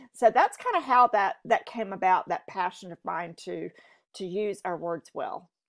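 A woman with an American accent talks at a moderate pace over a quiet background, her loudness swinging widely. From US South, eastern North Carolina. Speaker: podcast guest. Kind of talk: interview. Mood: warm, earnest. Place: home room. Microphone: earbuds.

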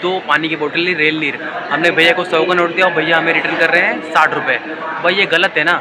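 A man speaks at a fairly quick pace. Crowd noise can be heard in the background. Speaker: train travel vlogger. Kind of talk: casual vlog chat. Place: station. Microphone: phone near.

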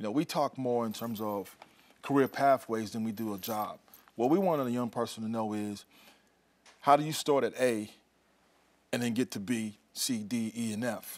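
A man with an American accent speaks at a medium pitch and a moderate pace, with ordinary pitch variation. He leaves long, frequent pauses. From South Carolina. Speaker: regional workforce advisor. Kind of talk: TV interview. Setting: studio. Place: studio. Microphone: lapel.

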